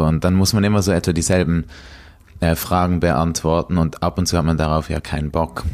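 Noticeable background noise accompanies a man with a very deep, low voice. He talks at a moderate pace with fairly even intonation. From Switzerland, Basel. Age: 20s. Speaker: slam poet and rapper. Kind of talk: interview. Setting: at a kitchen table.

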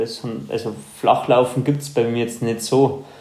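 A man talks in a monotone, flat intonation, with audible room echo. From Upper Bavaria, Germany (Ruhpolding). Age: 30s. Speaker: professional trail runner. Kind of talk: casual interview.

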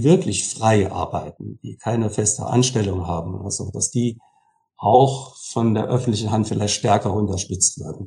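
A man talks at a moderate pace in a fairly low voice with ordinary pitch variation. His tone is dark and mellow, and somewhat breathy. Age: 60s. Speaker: music school director and church organist. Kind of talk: interview.

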